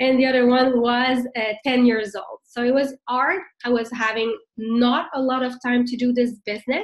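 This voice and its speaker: A woman with a French Canadian accent and a high pitch speaks at a moderate pace with fairly even intonation. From Quebec, Montreal. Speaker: network marketing leader, former nurse. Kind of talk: business training talk. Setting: video call.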